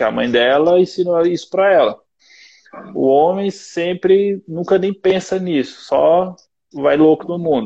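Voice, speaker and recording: Ordinary pitch variation marks a man's high voice as he speaks at a fairly slow pace. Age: 20s. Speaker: personal trainer. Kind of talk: casual chat. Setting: online video live stream.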